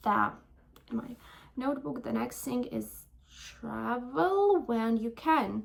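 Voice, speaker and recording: A woman talks at a very slow pace with a non-native accent. Her speech has long, frequent pauses. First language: not English. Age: 20s. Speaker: vlogger. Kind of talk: casual chat. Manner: halting.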